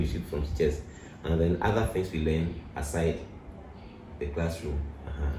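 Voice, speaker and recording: A man's voice is heard with audible room echo and noticeable background noise. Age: 60s. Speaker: pastor. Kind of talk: interview.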